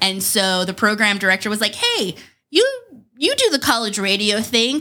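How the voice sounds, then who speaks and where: A woman with a raised, projected voice and a bright, sharp tone speaks at a moderate pace with very wide pitch swings. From New Mexico. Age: 30s. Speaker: radio host. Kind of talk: casual chat.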